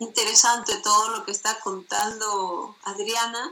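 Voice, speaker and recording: With noticeable noise in the background, this woman talks at a fairly high pitch. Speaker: radio co-host; student. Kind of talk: interview.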